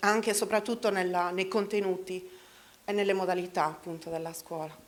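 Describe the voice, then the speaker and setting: A woman with a medium pitch speaks at a very fast pace with fairly even intonation. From Sardinia, Italy (Medio Campidano). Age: 40s. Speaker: local election candidate. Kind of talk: campaign speech. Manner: halting.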